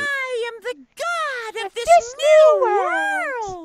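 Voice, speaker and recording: A put-on character voice, pitched extremely high and delivered at a very slow pace. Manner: bombastic, grandiose.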